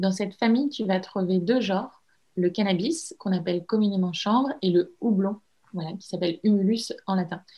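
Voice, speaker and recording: A woman at medium pitch with a dark, mellow, somewhat breathy tone, ordinary pitch variation, and a moderate pace. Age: 20s. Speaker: entrepreneur, cosmetics brand founder. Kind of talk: interview. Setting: remote call.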